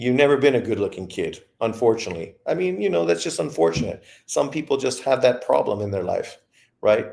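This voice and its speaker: Very wide pitch swings and vocal fry from a man at a medium pitch, at a fairly quick pace. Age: 50s. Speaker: boxing commentator. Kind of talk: casual chat.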